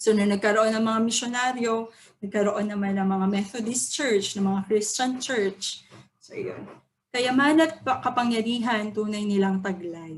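A woman's somewhat breathy, medium-pitched voice at a fairly slow pace, with ordinary pitch variation and audible room echo. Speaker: student or teacher giving a poem analysis. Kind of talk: lecture. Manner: halting.

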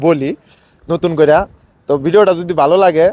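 The sound is dry and close with no echo as a man talks at a fairly high pitch. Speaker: street interviewer for a channel on Bangladeshi migrant workers. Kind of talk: outro address to viewers.

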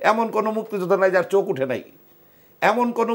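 This man's voice shows ordinary pitch variation. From Dhaka, Bangladesh; Bangladesh. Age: 60s. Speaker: war veteran and party official. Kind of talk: talk show discussion. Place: studio. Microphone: lapel.

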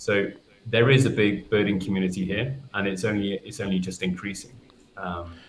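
A man's fairly low voice at a moderate pace, fairly even in intonation, with light background noise. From England. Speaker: nature photographer. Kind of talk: casual chat. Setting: video call. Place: home room.

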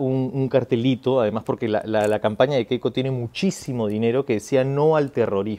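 At a fairly quick pace with hardly any pauses, a man speaks at a medium pitch in a dark, mellow tone with ordinary pitch variation. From Peru. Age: 30s. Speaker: actor. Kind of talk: political testimonial to camera. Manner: halting with many fillers. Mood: earnest, concerned. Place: garden.

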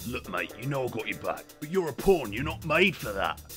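Clear music plays in the background as a man talks at a fairly quick pace and medium pitch. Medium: short film. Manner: blunt, fatherly, weary.

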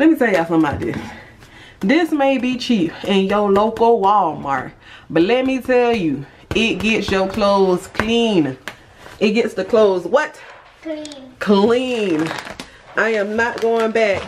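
Over light background noise, the speaker goes fairly slowly and leaves long, frequent pauses. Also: woman. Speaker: home vlogger. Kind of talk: casual vlog chat. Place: home room. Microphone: phone near.

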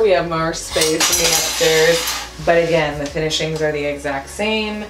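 With audible room echo, the speech runs at a fairly slow pace and fairly even intonation. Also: woman.

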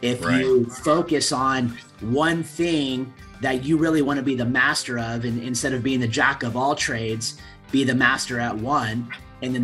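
With faint music in the background, a man speaks at a moderate pace. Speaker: guest. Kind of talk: interview answer. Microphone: video call.

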